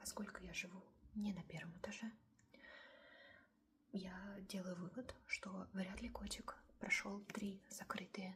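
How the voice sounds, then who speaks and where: A soft-spoken woman, whispering. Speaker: ASMR creator. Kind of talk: casual cat storytime. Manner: soft-spoken, whispery.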